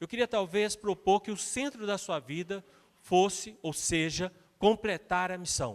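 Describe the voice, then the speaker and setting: A fairly slow delivery in a dry, close sound with no echo. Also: man, high pitch for a man, ordinary pitch variation, very clean recording, silent background. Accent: Minas Gerais. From Minas Gerais, Brazil. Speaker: guest preacher, missions leader. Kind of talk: sermon.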